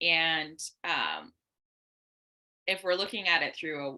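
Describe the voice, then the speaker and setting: A woman speaks with lively intonation in an animated, bright, sharp tone. Her pitch sits fairly low. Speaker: dating and relationship coach. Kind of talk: casual chat. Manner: loud.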